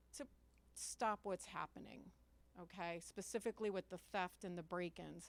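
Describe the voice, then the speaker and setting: Very clean recording of a woman, the background silent. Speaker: resident speaking at public comment. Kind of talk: public comment at town meeting. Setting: town council meeting room, microphone. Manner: unprepared, conversational.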